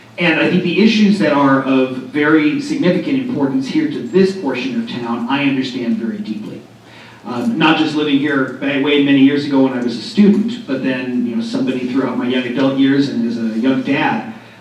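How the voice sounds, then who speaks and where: In an American accent, a man talks at a fairly quick pace and a fairly high pitch with lively intonation, amid audible room echo and noticeable background noise. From US West Coast, Los Angeles. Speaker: political candidate. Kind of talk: candidate forum speech. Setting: community event hall with audience.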